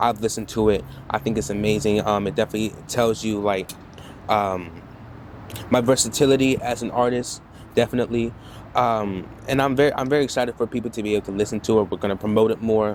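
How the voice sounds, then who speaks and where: A man with a fairly low voice talks very fast with ordinary pitch variation, broken by long, frequent pauses. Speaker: rapper. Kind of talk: interview. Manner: hesitant, many fillers.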